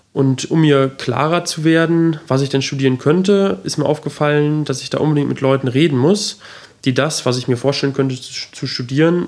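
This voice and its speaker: A man with an ordinary speaking voice talks at a fairly high pitch. His pace is moderate, with ordinary pitch variation. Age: 20s. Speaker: podcast host. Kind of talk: solo introduction monologue.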